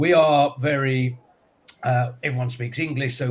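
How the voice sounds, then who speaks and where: Somewhat breathy, a man talks at medium pitch with fairly even intonation. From UK. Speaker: business show co-host. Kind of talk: live panel chat. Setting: live stream studio.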